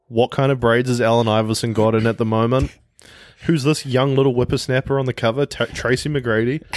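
A man with a New Zealand accent speaks at medium pitch and a fairly quick pace. His intonation is fairly even, and his loudness is very even. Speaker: podcast co-host. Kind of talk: casual chat.

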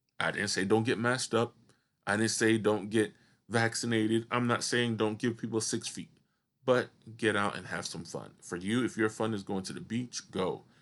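Here is a plain, everyday voice from a man at medium pitch and moderate pace. His intonation is fairly even, and the background is quiet. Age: 30s. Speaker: podcast host, wheelchair user. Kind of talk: solo podcast monologue.

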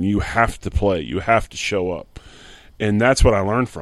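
A man with an American accent and an unremarkable speaking voice talks at a moderate pace with fairly low pitch on a very clean recording with a silent background. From Pottstown, Pennsylvania, near Philadelphia. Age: 50s. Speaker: former pro football player and coach. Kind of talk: interview, casual storytelling. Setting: at his home.

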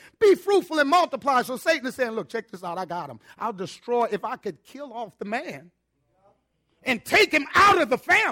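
A man's raised, projected voice at extremely high pitch, with very wide pitch swings and big swings in loudness, in a dry, close sound with no echo. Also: moderate pace. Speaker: ministry leader. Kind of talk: testimony. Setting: church. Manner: animated.

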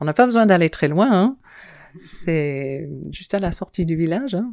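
Recorded very cleanly with a silent background, a woman with a fairly low pitch speaks with very wide pitch swings. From New Zealand, childhood spent on various islands abroad. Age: 50s. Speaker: town hall secretary and island resident. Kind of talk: interview conversation.

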